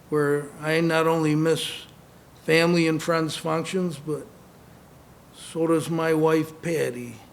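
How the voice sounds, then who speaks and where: A man's fairly high, monotone, flat voice at a very slow pace, broken by long, frequent pauses, with audible room echo and noticeable background noise. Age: 60s. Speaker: former boxer and brain injury survivor. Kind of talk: speech to an audience.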